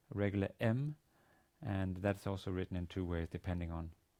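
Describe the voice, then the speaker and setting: A man speaks in a very deep, low voice with a dark, mellow tone. He has a Danish accent and keeps a moderate pace. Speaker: university teacher. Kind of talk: lecture. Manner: halting, many fillers and repetitions.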